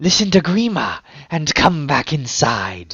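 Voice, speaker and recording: A put-on character voice comes through here. Its pitch sits in the middle range and the pace is fairly slow. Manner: persuasive, coaxing.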